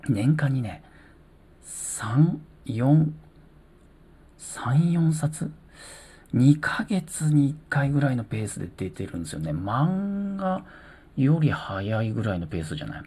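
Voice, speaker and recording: The speech moves at a very slow pace with long, frequent pauses. The recording is very clean, with a silent background. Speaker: solo talk podcaster. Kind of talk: casual solo talk. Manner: calm.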